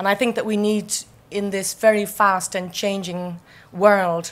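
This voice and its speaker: In an Irish accent, a woman speaks at a fairly slow pace with monotone, flat intonation on a very clean recording with a silent background. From Ireland. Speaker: architect. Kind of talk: keynote speech.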